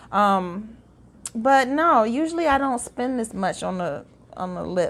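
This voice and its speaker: A woman with an American accent speaks at a fairly slow pace in a fairly high pitch. Her intonation is lively, and the recording is very clean with a silent background. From US Midwest. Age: 40s. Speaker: beauty vlogger. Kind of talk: product unboxing review. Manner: casual, with many fillers and restarts.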